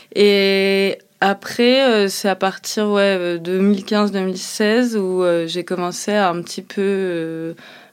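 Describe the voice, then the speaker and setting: In a very clean recording with a silent background, a woman speaks very slowly at a medium pitch, her intonation flat and monotone. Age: 30s. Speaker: chef. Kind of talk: interview testimony. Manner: hesitant, many fillers.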